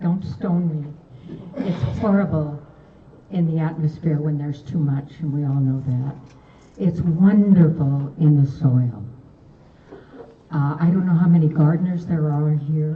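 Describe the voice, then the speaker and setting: With long, frequent pauses and audible room echo, a woman with a very deep, low pitch speaks at a fairly slow pace with ordinary pitch variation. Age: 80s+. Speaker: public commenter, gardener. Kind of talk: public comment statement.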